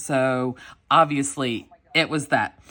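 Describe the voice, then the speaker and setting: With a Southern US accent, a woman speaks in an animated tone. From US South. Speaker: planner vlogger. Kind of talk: casual chat.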